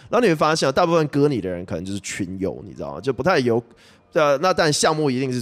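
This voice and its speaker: Very fast and medium-pitched, a man's voice moves through very wide pitch swings and big shifts in loudness in a very clean recording with a silent background. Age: 20s. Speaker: crypto podcast host. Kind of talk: casual solo commentary. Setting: video recording. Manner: filler-heavy, hesitant.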